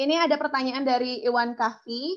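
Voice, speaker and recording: A woman's high-pitched voice over a quiet background. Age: young. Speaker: webinar MC. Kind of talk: moderating Q&A, reading out questions. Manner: casual, enthusiastic. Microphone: video call.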